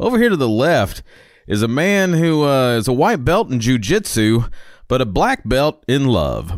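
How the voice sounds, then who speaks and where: Speaking with a Southern US accent, a man talks at a fairly slow pace with a fairly high pitch and very wide pitch swings. His loudness stays very even on a very clean recording with a silent background. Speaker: podcast host. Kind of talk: scripted narration; casual chat. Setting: studio. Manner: animated.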